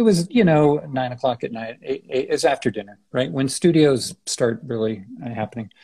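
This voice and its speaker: A man's somewhat breathy voice moves at a moderate pace with lively intonation. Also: medium pitch for a man, hardly any pauses. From San Francisco Bay Area, US. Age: 60s. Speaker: architect. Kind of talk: interview conversation. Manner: halting, many fillers and restarts.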